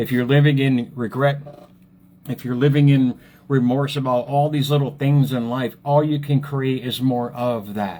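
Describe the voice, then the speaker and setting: Dark, mellow tone at a moderate pace, in a very clean recording with a silent background. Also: man. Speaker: motivational speaker and author. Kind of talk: motivational talk on Facebook live. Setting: Facebook live stream. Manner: casual, repetitive; animated.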